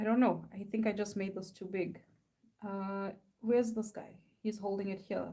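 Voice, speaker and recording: The voice is somewhat breathy, with monotone, flat intonation. It moves at a moderate pace with long, frequent pauses. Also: woman, medium pitch for a woman. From South Africa. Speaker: artist. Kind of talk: casual live-stream chat while drawing. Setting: live stream at home. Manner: casual, rambling with fillers.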